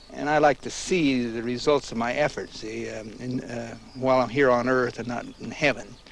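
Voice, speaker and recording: Over noticeable background noise, a man with an American accent speaks at a moderate pace and medium pitch, his intonation fairly even but his loudness swinging widely. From United States. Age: 60s. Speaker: farmer. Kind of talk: interview. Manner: halting, with many fillers.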